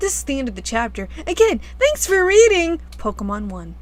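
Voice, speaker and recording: At a moderate pace, a woman speaks while music plays behind her. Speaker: fanfiction reader. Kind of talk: comedic fanfiction reading with commentary. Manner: casual, sarcastic.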